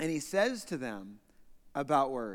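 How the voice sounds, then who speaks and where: On a very clean recording with a silent background, a man with an American accent speaks in an animated tone at a moderate pace, with very wide pitch swings. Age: 40s. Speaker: visiting pastor. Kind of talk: sermon. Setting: church.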